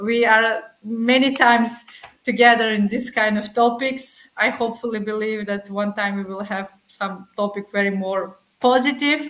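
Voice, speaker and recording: Speaking at a moderate pace, a woman holds a fairly high pitch with fairly even intonation. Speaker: refugee rights advocate. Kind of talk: panel talk. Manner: halting.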